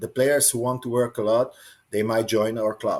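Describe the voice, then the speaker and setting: A man with a Hungarian accent talks at a moderate pace and medium pitch, his intonation monotone and flat. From Hungary. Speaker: water polo coach. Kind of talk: podcast interview. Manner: halting.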